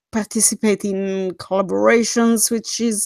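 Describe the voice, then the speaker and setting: In a very clean recording with a silent background, a woman speaks with a non-native accent at a fairly high pitch. The sound is dry and close with no echo, and her intonation is fairly even. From Switzerland. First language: not English. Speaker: horror story narrator, livestream host. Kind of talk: casual livestream chat.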